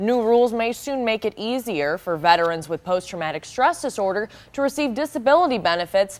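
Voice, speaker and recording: Over noticeable background noise, a woman with a fairly high pitch speaks at a fairly quick pace, hardly pausing, her pitch swinging very widely. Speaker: news anchor / reporter. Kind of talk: morning news headlines read.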